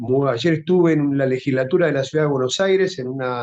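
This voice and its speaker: At a moderate pace, a man talks in a fairly high voice with ordinary pitch variation. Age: 60s. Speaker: social movement leader. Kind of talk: interview.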